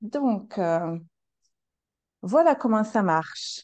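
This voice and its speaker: A woman with a slight non-native accent talks very slowly, her tone dark and mellow. Her intonation is lively over a quiet background. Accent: foreign accent, slight. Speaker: coach and practitioner. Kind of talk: casual interview. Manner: hesitant, many fillers.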